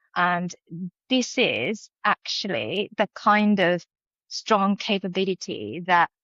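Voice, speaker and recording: Speaking with a Japanese accent, a woman talks at a very slow pace. Her pitch is medium, with ordinary variation. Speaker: professor. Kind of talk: podcast interview. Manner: hesitant with fillers.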